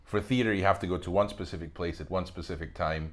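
A man with a Spanish accent speaks at a fairly quick pace with ordinary pitch variation. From Spain, Madrid. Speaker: actor. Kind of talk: casual chat.

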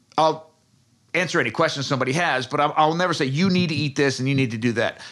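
Using a normal speaking voice, a man with an American accent talks at a fairly high pitch. His intonation is lively, and the recording is very clean, with a silent background. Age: 40s. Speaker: food researcher and author. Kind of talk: interview.

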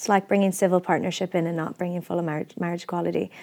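A woman's dark, mellow voice with fairly even intonation, in a very clean recording with a silent background. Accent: Irish. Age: 30s. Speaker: activist and actor. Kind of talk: interview.

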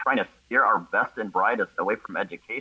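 At a moderate pace, a man is heard in a dry, close sound without any echo. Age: 30s. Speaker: science teacher. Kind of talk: casual chat.

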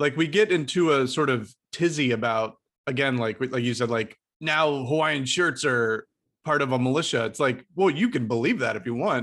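Against a quiet background, a man speaks at a moderate pace. He has a plain, everyday voice at a medium pitch with ordinary pitch variation. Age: 40s. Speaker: podcast host. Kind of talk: casual chat.

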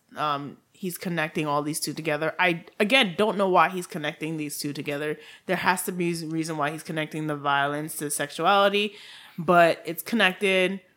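The tone is bright and sharp, in a Haitian accent. Pitch variation is ordinary and the pace moderate. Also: woman, fairly low pitch for a woman. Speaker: true crime podcast co-host. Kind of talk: casual chat.

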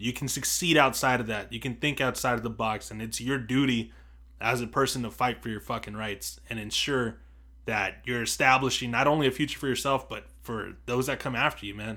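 With an American accent, a man speaks at a medium pitch in a bright, sharp tone with vocal fry and fairly even intonation, in a very clean recording with a silent background. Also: fairly quick pace. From US, Mexican heritage. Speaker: podcast co-host. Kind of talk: casual chat.

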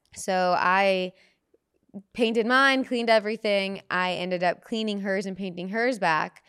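At a fairly slow pace, a woman with an unremarkable speaking voice talks with fairly even intonation on a very clean recording with a silent background. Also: medium pitch for a woman. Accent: American. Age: 20s. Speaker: comedian. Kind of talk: casual chat.

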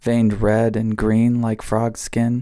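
This man's voice has a medium pitch and a dark, mellow tone. He speaks at a very slow pace on a very clean recording with a silent background. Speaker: podcast host. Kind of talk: casual chat. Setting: outdoors.

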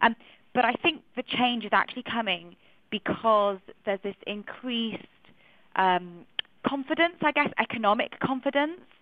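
Long, frequent pauses break up a woman's speech in a Manchester accent at a moderate pace. Her pitch is fairly high and her intonation lively. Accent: British English, Manchester. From Manchester, northern England. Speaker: journalist and curator. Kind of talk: radio panel discussion. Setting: phone line to radio studio.

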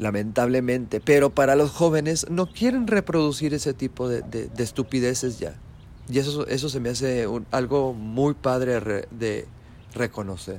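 A man's ordinary speaking voice, medium in pitch, with ordinary pitch variation at a moderate pace. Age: 40s. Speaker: podcast host. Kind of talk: solo live commentary monologue. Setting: live stream.

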